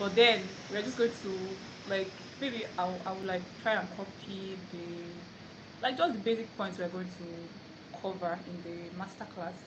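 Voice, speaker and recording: A woman's medium-pitched voice in a Nigerian accent, at a moderate pace with fairly even intonation, big swings in loudness, long and frequent pauses, and audible room echo. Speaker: language teacher. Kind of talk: live stream tutorial. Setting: phone live stream away from home.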